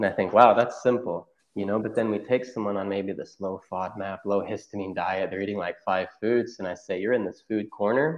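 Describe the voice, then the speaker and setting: Speaking fairly quickly with hardly any pauses, a man with an American accent has an unremarkable speaking voice, a fairly low pitch and fairly even intonation. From Oklahoma, US. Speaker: chiropractor, functional medicine practitioner. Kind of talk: interview, casual chat.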